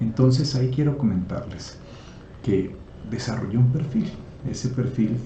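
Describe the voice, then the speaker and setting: A medium-pitched man at a fairly slow pace, with audible room echo and noticeable background noise. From Colombia, Nariño (Pasto) and Putumayo. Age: 60s. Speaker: entrepreneur. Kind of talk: personal presentation video. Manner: halting, with fillers.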